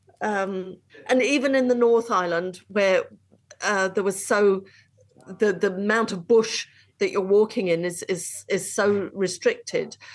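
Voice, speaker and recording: Speaking at a medium pitch with an English accent, a woman keeps a fairly slow pace and fairly even intonation. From England. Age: 60s. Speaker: long-distance hiker. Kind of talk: interview. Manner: halting.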